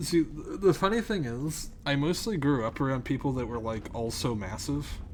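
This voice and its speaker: An ordinary speaking voice carries lively intonation throughout. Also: man. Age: 30s. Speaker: video game streamer. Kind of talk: casual gameplay commentary. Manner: casual, chatty.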